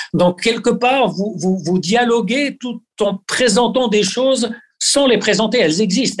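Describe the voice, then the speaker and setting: The speaker is a man at a fairly slow pace. His pitch varies in an ordinary way. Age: 60s. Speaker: fitness coach for athletes. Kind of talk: interview. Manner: hesitant with repeated words.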